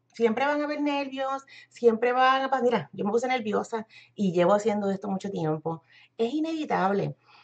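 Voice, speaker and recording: Speaking in a Puerto Rican accent, a woman uses lively intonation at a fairly high pitch and a moderate pace. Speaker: internet marketer and business coach. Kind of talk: live-stream tutorial. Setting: live video stream.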